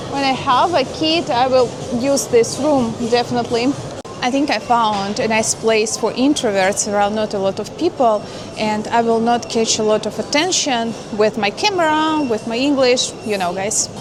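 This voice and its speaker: Music plays in the background and the room has an audible echo. A woman with a Russian accent speaks at a moderate pace, with a fairly high pitch and ordinary pitch variation. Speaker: vlogger. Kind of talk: casual vlog narration. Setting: walking around a shopping mall. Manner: hesitant with fillers.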